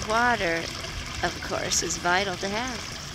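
Very slow pace in a dry sound with no echo, with noticeable background noise. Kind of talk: casual vlog chat. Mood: cheerful, uplifting. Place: waterside. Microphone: phone near.

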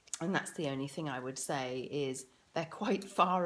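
A woman with a very deep, low pitch and a British accent, fairly slow in pace, with ordinary pitch variation. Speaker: parent vlogger. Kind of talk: casual tutorial. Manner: hesitant, many fillers.

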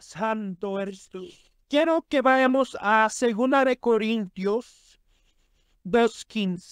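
This man's voice sits high for a man with ordinary pitch variation, moving at a very slow pace in a very clean recording with a silent background. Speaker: preacher. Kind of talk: sermon. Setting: church. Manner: fervent, exhortative, pulpit delivery with amens and praise; earnest, urgent and solemn when warning about sin.

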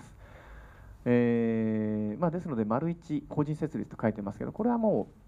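With lively intonation and a dark, mellow tone, a man speaks at a moderate pace. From Kyushu, Miyazaki; Kyushu. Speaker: real estate consultant; seminar lecturer. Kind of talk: seminar lecture. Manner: formal. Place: meeting room. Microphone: handheld.

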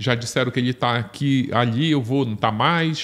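The speaker is a man whose pitch shifts in an ordinary way. He keeps a moderate pace. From Brazil, Belém do Pará; Pará, Brazil. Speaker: journalist and true-crime author; journalist. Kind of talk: casual chat. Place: studio. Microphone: studio mic.

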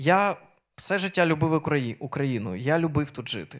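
The background is quiet. A man speaks at a fairly slow pace and a fairly high pitch. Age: 30s. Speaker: preacher. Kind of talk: sermon. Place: church. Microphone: handheld.

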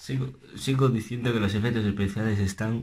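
Soft-spoken and somewhat breathy, a man talks at a fairly quick pace in a fairly low pitch with ordinary pitch variation, light background noise behind him. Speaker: music reaction youtuber. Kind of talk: reaction video commentary. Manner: soft-spoken, speaking low; animated. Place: home room. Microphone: webcam.

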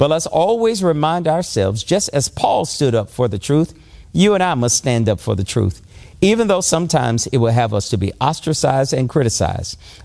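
A man's fairly high voice with a dark, mellow, warm tone, very wide pitch swings and a fairly quick pace. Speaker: pastor. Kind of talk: sermon. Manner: earnest, warm, exhortative preacher's cadence.

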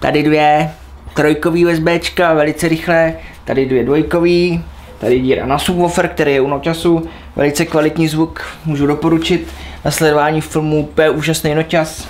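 Delivery is monotone, with flat intonation, at a moderate pace. Light background noise is present. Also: man, very even loudness. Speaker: vlogger reviewing his laptop. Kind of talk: casual vlog chat. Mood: playful, joking. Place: home room. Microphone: phone near.

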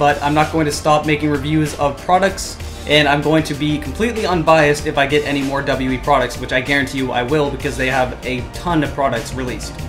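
A man at a very fast pace, with clear music in the background. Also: hardly any pauses. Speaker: airsoft hobby reviewer. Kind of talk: casual vlog chat. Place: home room. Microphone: camera far.

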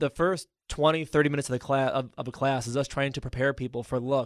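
Against a quiet background, a man with a fairly high voice speaks at a very fast pace. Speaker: financial instructor. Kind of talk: educational radio talk. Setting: studio.

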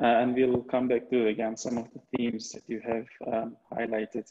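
The speaker is a man at a fairly slow pace. His intonation is monotone and flat. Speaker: webinar moderator. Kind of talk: webinar moderation. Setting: video call. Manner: halting. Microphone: video call.

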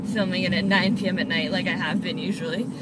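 Loud background noise surrounds a woman speaking at a medium pitch in a dry sound with no echo. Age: 20s. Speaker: fitness instructor and vlogger. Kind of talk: casual video blog. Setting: filming on lunch break during course. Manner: casual, hesitant with fillers. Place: car. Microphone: phone near.

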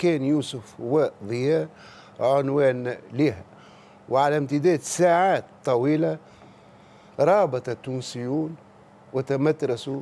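A dark, mellow tone at a very slow pace, with ordinary pitch variation and long, frequent pauses. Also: man, fairly high pitch for a man. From Tunisia. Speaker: political commentator. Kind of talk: TV talk show commentary. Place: studio. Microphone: lapel.

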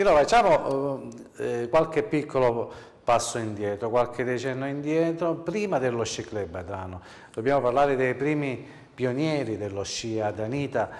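A plain, everyday voice from a man at medium pitch, with lively intonation and a moderate pace. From Sicily, Adrano area. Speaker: TV host. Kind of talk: TV interview.

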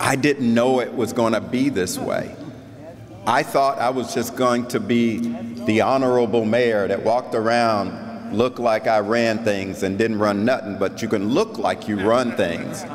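The speaker has an American accent and a fairly slow pace. Light background noise can be heard. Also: man, very even loudness. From South Florida. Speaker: keynote speaker, head of a national league of cities; keynote speaker. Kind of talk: keynote speech. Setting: convention stage with audience. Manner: animated. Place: hall. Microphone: podium.

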